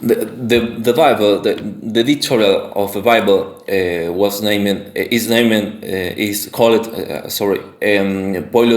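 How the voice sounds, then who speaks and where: Speech comes at a very slow pace in a Spanish accent, with ordinary pitch variation. Noticeable background noise sits behind it. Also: man. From Argentina, Santa Fe. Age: 20s. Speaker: independent researcher / content creator. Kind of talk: monologue presentation. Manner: halting, many fillers and restarts.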